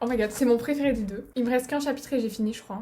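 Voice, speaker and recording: Over noticeable background noise, a woman talks in a high voice with fairly even intonation. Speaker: vlogger. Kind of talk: casual vlog outro. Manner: fast. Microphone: laptop camera recording.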